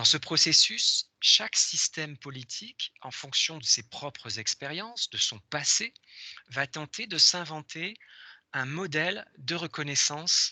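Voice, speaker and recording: A man with a bright, sharp tone speaks at a fairly high pitch and a very slow pace, with ordinary pitch variation. His loudness swings widely, in a dry, close sound with no echo and a quiet background. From France. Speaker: professor. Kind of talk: lecture. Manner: hesitant, many fillers.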